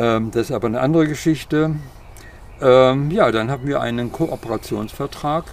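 Against noticeable background noise, the speech moves at a fairly slow pace. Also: man. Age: old. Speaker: social worker. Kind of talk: interview. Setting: outdoors in a garden.

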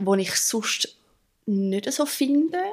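A woman's lively intonation is heard on a very clean recording with a silent background. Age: 30s. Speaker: drummer and therapist. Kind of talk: interview.

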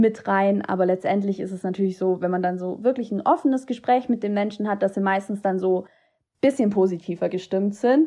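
A woman speaks at a fairly quick pace in a plain, everyday voice. Her medium pitch shows ordinary variation over a quiet background. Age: 20s. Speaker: student teacher and political candidate. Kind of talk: interview.

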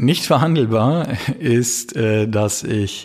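A man's dark, mellow voice of medium pitch on a very clean recording with a silent background. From Baden, southern Germany. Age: 30s. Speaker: criminal defense lawyer. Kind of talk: interview.

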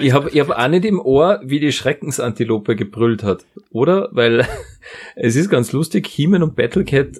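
With few pauses and a moderate pace, a man talks at a medium pitch, his slightly mellow tone carrying a slightly husky edge and lively intonation.

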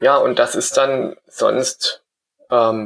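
There's a man talking. No echo at all, just a dry, close sound. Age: 30s. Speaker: blind traveler. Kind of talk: casual interview.

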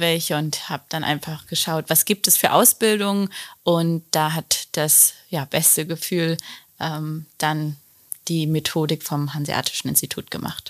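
In a dry, close recording with no echo, a woman speaks with a very deep, low pitch. Her intonation stays fairly even and her pace is fairly slow. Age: 30s. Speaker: relationship coach. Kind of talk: casual interview.

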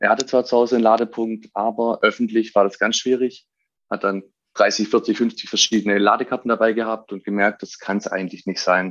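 A man's flat, monotone delivery at a fairly quick pace and medium pitch. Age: 20s. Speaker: startup co-founder. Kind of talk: interview.

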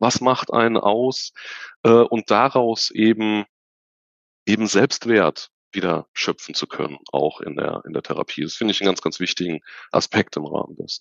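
Here is a man with an unremarkable speaking voice and a fairly low pitch. He talks at a moderate pace with lively intonation. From Germany, Unna (Ruhr area / Sauerland border). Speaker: hypnotherapist, psychotherapy practitioner. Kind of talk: interview conversation.

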